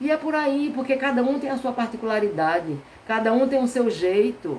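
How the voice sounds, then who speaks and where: A woman speaks in a northeastern Brazilian accent, high in pitch and at a moderate pace. Her tone is animated, her intonation lively. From Brazilian Northeast. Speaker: therapist. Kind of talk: live stream talk. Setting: live stream.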